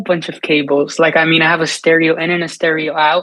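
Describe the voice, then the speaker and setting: With a Spanish accent, a man talks fairly quickly in a bright, sharp tone at a fairly high pitch. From US, New York City (Dominican family). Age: 20s. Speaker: singer-songwriter and live streamer. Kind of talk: interview answers. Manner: casual, repetitive self-restarts.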